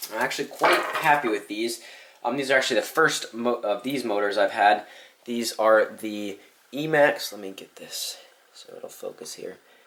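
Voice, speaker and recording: A man keeps a moderate pace, with noticeable background noise behind him. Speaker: RC hobby youtuber. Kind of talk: product review. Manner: casual, many fillers.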